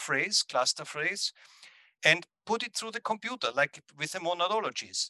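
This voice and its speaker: A man's bright, sharp voice carries lively intonation in a dry, close sound with no echo. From Austria. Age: 60s. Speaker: composer. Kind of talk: interview. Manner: halting.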